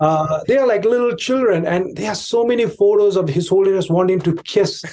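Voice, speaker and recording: His voice has a dark, mellow tone and a high pitch for a man. The man talks at a fairly quick pace with ordinary pitch variation. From India, Tibetan exile community in Darjeeling. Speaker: Tibetan commentator, podcast guest. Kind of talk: interview conversation. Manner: halting, many fillers.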